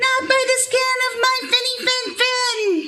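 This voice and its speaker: In a put-on character voice, a woman sounds squeaky and pitched extremely high. Her pace stays fairly slow. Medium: read story.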